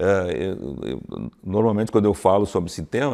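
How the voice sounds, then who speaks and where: A dark, mellow tone at a moderate pace. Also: man. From Santa Maria, Rio Grande do Sul, Brazil; Rio Grande do Sul, Brazil. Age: 60s. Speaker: cultural committee coordinator; interview guest. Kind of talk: interview. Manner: halting, many repetitions. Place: hall.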